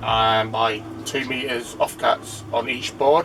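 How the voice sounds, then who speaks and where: With music playing in the background, the speaker's intonation stays fairly even. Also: man. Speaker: DIY vlogger. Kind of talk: casual vlog.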